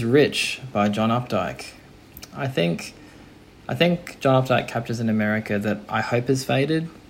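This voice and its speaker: Mid-pitched male speech against noticeable background noise. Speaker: listener contributor. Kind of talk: recorded audio message.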